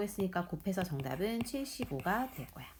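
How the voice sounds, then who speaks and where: A woman speaks at a medium pitch, her voice swinging very widely up and down. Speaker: math teacher. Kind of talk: tutorial. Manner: fast.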